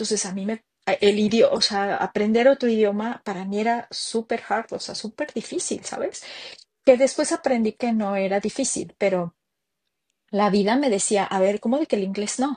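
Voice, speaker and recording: Against a quiet background, a woman speaks at a moderate pace in a somewhat breathy voice, with a dry, close sound and no echo. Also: fairly high pitch for a woman, ordinary pitch variation. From Mexico City. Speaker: entrepreneur. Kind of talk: interview. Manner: halting.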